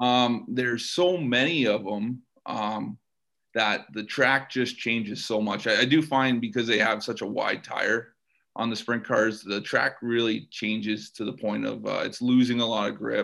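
Speaking with a Canadian accent, a man uses an unremarkable speaking voice at a medium pitch. His pace is fairly slow, with ordinary pitch variation. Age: 30s. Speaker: race car driver. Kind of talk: interview. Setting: podcast recording.

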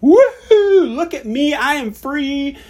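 Using a put-on character voice, a woman speaks at a high pitch in an excited tone. Her pace is fairly slow. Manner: gleeful, excited.

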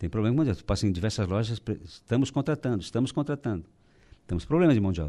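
A man's dark, mellow tone with lively intonation. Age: 60s. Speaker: business association president. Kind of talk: radio interview. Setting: radio studio.

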